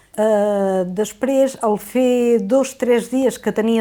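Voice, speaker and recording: Over a silent background in a very clean recording, the voice has a dark, mellow tone. It moves at a very slow pace. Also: woman. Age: 60s. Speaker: patient. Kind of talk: testimony. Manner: halting, with fillers.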